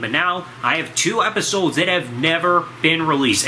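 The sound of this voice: A man speaks at a fairly high pitch. Background noise is clearly audible.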